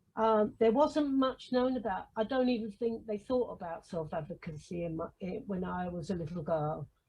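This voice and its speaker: A somewhat breathy woman's voice at a moderate pace with hardly any pauses. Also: medium pitch for a woman, lively intonation. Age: 70s. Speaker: self-advocate. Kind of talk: personal statement. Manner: halting.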